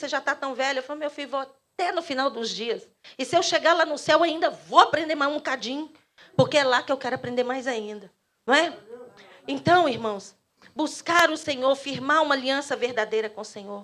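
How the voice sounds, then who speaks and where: A woman talks at a fairly quick pace with a high pitch and ordinary pitch variation. Her loudness swings widely. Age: 60s. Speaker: pastor. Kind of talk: sermon. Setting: church.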